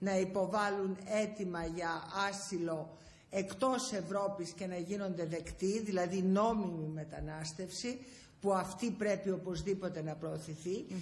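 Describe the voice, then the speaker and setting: The woman's speech moves at a fairly slow pace. She keeps a fairly even intonation. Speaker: politician guest. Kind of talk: interview answer. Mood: serious, earnest. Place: office. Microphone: handheld.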